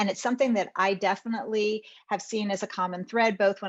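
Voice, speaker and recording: An ordinary speaking voice with an American accent, fairly even intonation and a fairly quick pace. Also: woman. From northern US. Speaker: lawyer. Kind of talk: panel discussion.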